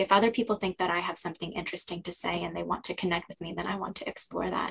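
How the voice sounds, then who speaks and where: A somewhat breathy woman with an American accent, a very fast pace and ordinary pitch variation. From United States. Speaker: Japan studies specialist and translator. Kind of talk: casual interview.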